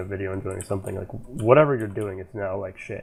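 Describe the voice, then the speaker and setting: The speaking pace is very fast. The voice sounds somewhat breathy. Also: man. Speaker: podcast host. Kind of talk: casual chat. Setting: voice chat call. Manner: halting.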